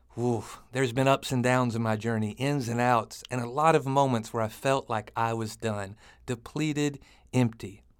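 At a moderate pace, a man speaks at a medium pitch with an American accent. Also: very clean recording, silent background. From rural US, small town. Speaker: podcast host, church pastor. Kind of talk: motivational monologue. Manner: animated.

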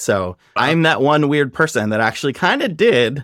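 A man with an American accent and an unremarkable speaking voice talks at a fairly high pitch with lively intonation. The recording is very clean, with a silent background and a dry, close sound with no echo. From US Midwest, Nebraska. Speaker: growth marketing executive. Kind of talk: casual chat.

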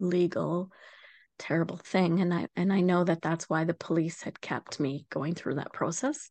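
A woman with a western Canadian accent speaks at a moderate pace in a fairly low pitch with fairly even intonation, the sound dry and close with no echo against a quiet background. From Canada, Vancouver Island. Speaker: abuse survivor and advocate. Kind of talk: testimony.

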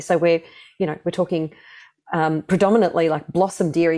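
Fairly low in pitch, a woman with an Australian accent has a dark, mellow tone in a very clean recording with a silent background. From Australia, Melbourne. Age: 40s. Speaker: singer. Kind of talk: casual chat.

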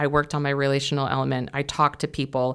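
On a very clean recording with a silent background, a woman with an American accent talks at a very fast pace. Her pitch is very deep and low, and her intonation is monotone and flat. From California. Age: 40s. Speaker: stay-at-home mother and caregiver. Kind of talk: interview, personal testimony. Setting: studio.

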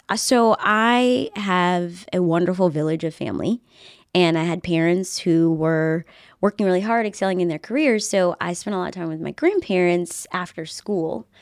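Set fairly low in pitch, a woman's unremarkable speaking voice moves at a moderate pace with ordinary pitch variation, on a very clean recording with a silent background. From Virginia, Henrico County near Richmond. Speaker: news anchor and reporter. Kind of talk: casual chat. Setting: home studio.

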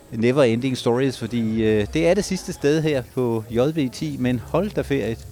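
Barely pausing, a man talks at medium pitch with lively intonation. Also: fairly slow pace. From Denmark, Ribe (southwest Jutland). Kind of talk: live field reporting with street interviews. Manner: animated.

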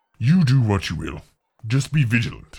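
A man speaks in a put-on character voice. His pitch sits in the middle range, with lively intonation. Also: moderate pace. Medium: actual play. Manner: calm, measured.

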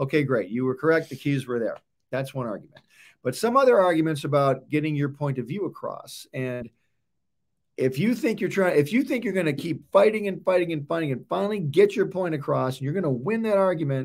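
A plain, everyday voice from a man, fairly high in pitch, at a fairly quick pace with lively intonation, on a very clean recording with a silent background. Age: 50s. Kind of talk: casual chat about marriage and faith.

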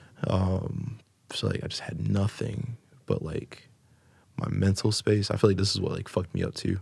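A somewhat breathy man with an American accent and a fairly low pitch speaks at a moderate pace in a monotone, flat intonation, with long, frequent pauses. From South Florida. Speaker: hip-hop and jazz artist. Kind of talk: casual chat.

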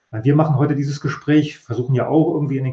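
A man speaks in a fairly high pitch with a somewhat breathy sound. His intonation is monotone and flat. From East Germany. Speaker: professor of communication studies. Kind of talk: interview.

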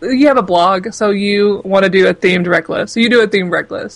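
A woman with an unremarkable speaking voice talks at a moderate pace in a medium pitch, with ordinary pitch variation. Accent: American. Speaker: book blogger and critic. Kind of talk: casual interview conversation.

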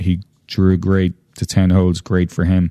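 A man with an Irish accent, very deep and low in pitch, dark and mellow in tone, in a dry, close sound with no echo against a quiet background. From Ireland. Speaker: horse farm owner. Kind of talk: casual chat.

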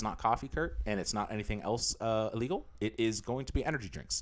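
Rushing at a very fast pace, a man talks with vocal fry in a fairly low pitch. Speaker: podcast co-host. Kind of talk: casual chat.

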